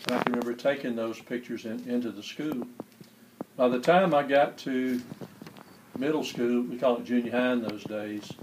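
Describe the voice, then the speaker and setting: A man with a Southern US accent talks at a fairly quick pace with fairly even intonation. His speech has long, frequent pauses, and there is noticeable background noise. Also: medium pitch for a man. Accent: Southern US (Georgia). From US South, Albany, Georgia. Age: 60s. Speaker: public librarian, church choir member. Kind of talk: interview, personal recollection.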